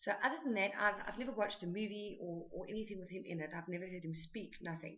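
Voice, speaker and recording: A woman with a South African accent, medium pitch and ordinary pitch variation. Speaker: book vlogger. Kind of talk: book review. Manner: hesitant, many fillers.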